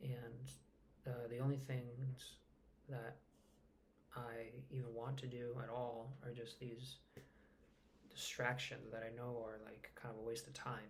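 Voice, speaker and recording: Soft-spoken and somewhat breathy, a man at medium pitch talks at a fairly slow pace with monotone, flat intonation and long, frequent pauses, with audible room echo. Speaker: vlogger. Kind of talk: personal vlog. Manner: halting.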